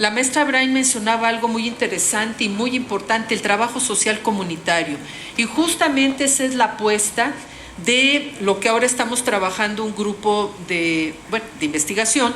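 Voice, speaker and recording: A woman with a fairly high pitch speaks at a moderate pace with ordinary pitch variation. Noticeable background noise and audible room echo are present. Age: 60s. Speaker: social work professor. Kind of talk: panel talk. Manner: halting.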